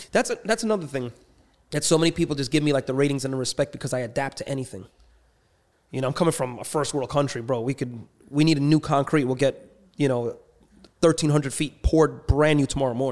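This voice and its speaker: The speaker talks at a very fast pace with a New York accent. Pitch variation is ordinary. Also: man, fairly high pitch for a man. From New York City, Queens. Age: 30s. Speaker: street racer and entrepreneur. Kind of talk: casual chat.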